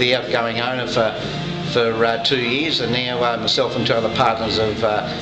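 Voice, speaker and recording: While clear music plays behind him, a man talks fairly quickly. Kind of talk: interview answer. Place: bar. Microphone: phone near.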